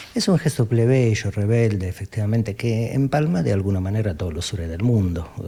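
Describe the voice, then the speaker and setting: At a fairly quick pace, the voice comes across as somewhat breathy with a dark, mellow tone. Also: man, fairly low pitch for a man, ordinary pitch variation, hardly any pauses. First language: southern Italian dialect (speaking Spanish). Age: 40s. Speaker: philosopher.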